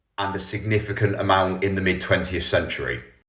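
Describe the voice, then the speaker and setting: A man talks very fast with an English accent. His pitch sits fairly low. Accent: received pronunciation. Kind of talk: clear, educated, lecturing.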